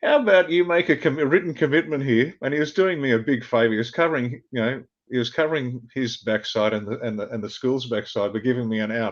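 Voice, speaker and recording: A man with an Australian accent talks at a very fast pace, his medium-pitched voice full of lively intonation. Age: 60s. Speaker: former army officer. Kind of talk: interview.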